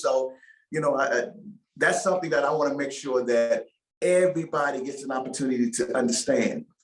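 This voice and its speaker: A man's moderate-paced voice with lively intonation, over music in the background. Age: 60s. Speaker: former NFL player and choir singer. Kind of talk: interview.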